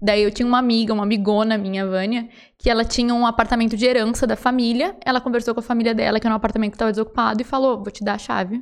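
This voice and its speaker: The voice runs at a very fast pace with hardly any pauses. Its intonation is monotone and flat. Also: woman, fairly high pitch for a woman. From Rio Grande do Sul, Brazil. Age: 30s. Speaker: clothing and shoe store owner. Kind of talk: casual interview chat.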